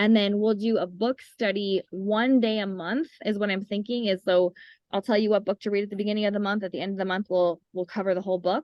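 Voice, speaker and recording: A woman speaks very fast at a medium pitch, her intonation fairly even. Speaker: essential oils class teacher. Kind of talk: online class talk.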